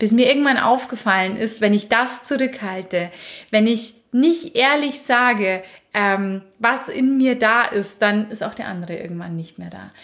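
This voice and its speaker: A woman speaks at a fairly slow pace and fairly high pitch. Her loudness swings widely, while her pitch variation stays ordinary. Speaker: relationship podcast host. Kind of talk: casual chat.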